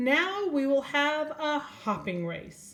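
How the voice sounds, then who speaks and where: Using a put-on character voice, a woman speaks at a very slow pace and a high pitch. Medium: read story.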